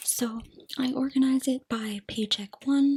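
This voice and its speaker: A soft-spoken woman with fairly even intonation. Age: 20s. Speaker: budgeting and cash stuffing YouTuber. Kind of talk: casual talk to camera, budget walkthrough. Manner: soft-spoken, ASMR style.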